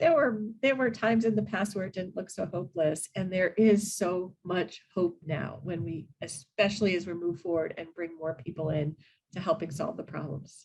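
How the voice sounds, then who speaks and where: A woman talks at a medium pitch and a moderate pace. Her voice is somewhat breathy, with ordinary pitch variation. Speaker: animal welfare panelist. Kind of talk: panel discussion.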